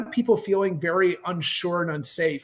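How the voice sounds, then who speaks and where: The speaker is a man. His accent is American. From Los Angeles, California. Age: 50s. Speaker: counselor and community organizer. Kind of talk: casual interview chat.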